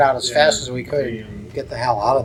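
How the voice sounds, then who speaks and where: A man talks at a fairly quick pace with an American accent. His pitch varies in an ordinary way, and there is noticeable background noise. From Cleveland, Ohio. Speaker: war veteran. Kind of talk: interview answer. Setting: reunion event.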